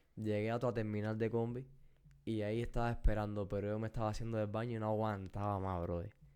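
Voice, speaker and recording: Very fast and monotone, a man speaks at a fairly low pitch with flat intonation in a dark, mellow tone. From Cuba. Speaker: podcast co-host. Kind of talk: casual chat.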